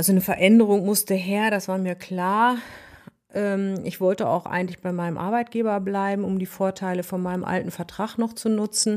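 A woman speaks at a medium pitch and a moderate pace with monotone, flat intonation. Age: 50s. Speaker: nurse. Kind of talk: interview.

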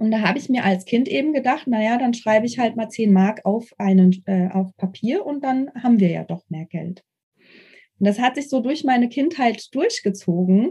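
The woman's pitch is fairly high and her tone dark and mellow. She talks at a moderate pace with lively intonation. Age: 30s. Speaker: investor and former hotel professional. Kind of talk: casual interview.

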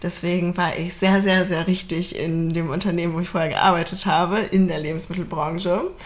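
The speech runs at a moderate pace with hardly any pauses and monotone, flat intonation. Audible room echo and noticeable background noise come through. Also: woman, fairly low pitch for a woman. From Berlin, Germany. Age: 30s. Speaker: podcast co-host, team leader. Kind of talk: casual chat.

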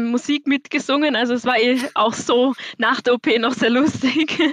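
A high-pitched woman with a slight Viennese accent speaks with fairly even intonation, in a dry, close sound with no echo. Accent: little Viennese. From Austria, Vienna. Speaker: listener, student. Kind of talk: casual chat. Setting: video call.

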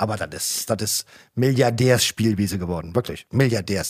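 Lively in intonation and animated in tone, a man with a fairly low pitch speaks at a moderate pace in a very clean, dry, close recording with no echo and a silent background. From Germany, Mosel region. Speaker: winemaker. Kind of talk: casual chat. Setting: studio.

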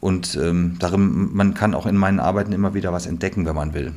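There is audible room echo around a man with a very deep, low pitch. He talks at a fairly quick pace. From western Germany. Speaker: theatre director. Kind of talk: casual interview.

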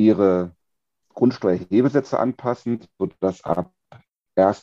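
A man speaks at a fairly slow pace in a dark, mellow tone, with fairly low pitch and ordinary pitch variation. The sound is dry and close, with no echo. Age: 40s. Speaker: tax lawyer and company executive. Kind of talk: podcast interview.

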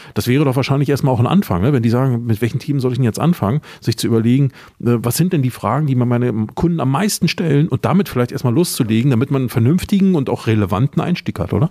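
Very fast yet very even in loudness, a man with a medium pitch and a dark, mellow tone uses lively intonation in a dry, close recording with no echo. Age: 50s. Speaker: podcast host, former marketing lecturer. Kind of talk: interview. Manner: hesitant fillers.

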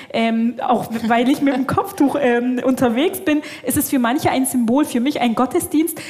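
Music plays in the background while a woman speaks at a moderate pace. Her voice is high-pitched with lively intonation. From Bavarian Swabia, Germany. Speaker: Islamic theologian. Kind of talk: live podcast panel discussion. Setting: stage with live audience. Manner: halting, many fillers.

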